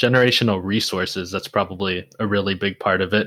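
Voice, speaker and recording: At a moderate pace, a man with a normal speaking voice talks in fairly even intonation. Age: 20s. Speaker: podcast host. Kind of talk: casual interview chat.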